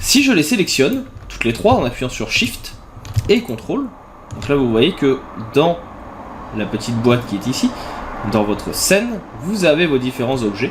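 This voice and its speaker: Over noticeable background noise, a man speaks at a moderate pace with long, frequent pauses. His fairly high voice makes very wide pitch swings. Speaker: graphic design software tutor. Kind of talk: tutorial.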